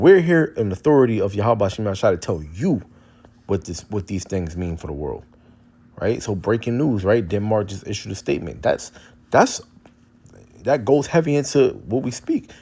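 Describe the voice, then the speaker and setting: A man's dark, mellow voice at a moderate pace, with very wide pitch swings and long, frequent pauses. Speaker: street preacher / religious commentator. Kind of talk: religious teaching with scripture reading. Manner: halting, many repetitions and fillers.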